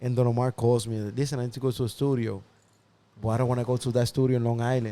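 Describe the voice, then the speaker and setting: Speaking very fast, a man with a medium pitch and a dark, mellow tone keeps a monotone, flat intonation. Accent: Spanish. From Dominican Republic, raised partly in the Bronx. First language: Spanish. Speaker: music producer. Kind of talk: interview storytelling. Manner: casual, halting with repetitions.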